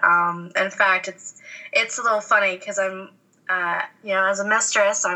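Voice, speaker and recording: A woman with a medium pitch and ordinary pitch variation talks at a moderate speed as noticeable noise sounds behind her. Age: 20s. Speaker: college student and adult chat worker. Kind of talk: casual interview chat. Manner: giggly.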